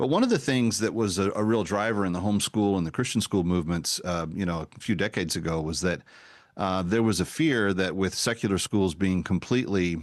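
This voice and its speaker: A man with an American accent talks at a fairly quick pace against a quiet background. His pitch sits fairly low with ordinary variation, and it's an unremarkable speaking voice. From Texas. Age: 50s. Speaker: talk show host. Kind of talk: interview.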